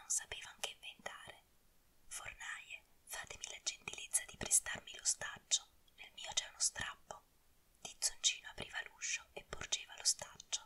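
A woman whispers with big swings in loudness and long, frequent pauses. Noticeable background noise is present. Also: moderate pace. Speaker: ASMR narrator. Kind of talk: whispered fairy tale reading. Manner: whispered.

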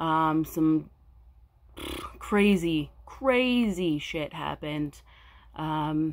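A woman with an American accent speaks at a fairly low pitch on a very clean recording with a silent background. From California. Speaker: crafting vlogger. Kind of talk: casual vlog monologue. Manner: hesitant, frequent um fillers.

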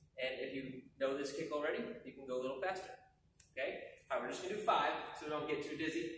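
At a fairly quick pace, a man speaks with audible room echo and light background noise. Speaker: martial arts instructor. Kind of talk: tutorial. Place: gym. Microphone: camera far.

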